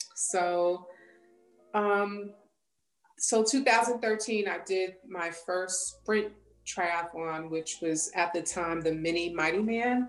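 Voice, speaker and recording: In a New York accent, a woman talks very slowly at a medium pitch. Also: ordinary pitch variation. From New York, Long Island. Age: 40s. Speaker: police detective, triathlete and coach. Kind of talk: casual interview.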